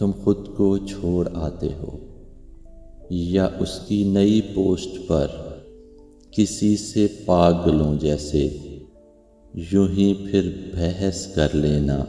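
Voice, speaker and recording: A man talks with a very deep, low pitch and fairly even intonation. Music plays in the background. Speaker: poetry narrator. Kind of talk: poetry reading with commentary.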